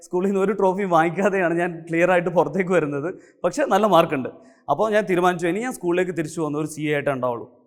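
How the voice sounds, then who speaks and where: Male voice pitched high, with ordinary pitch variation. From Kerala, Kannur district. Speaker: chartered accountant and teacher. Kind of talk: motivational talk.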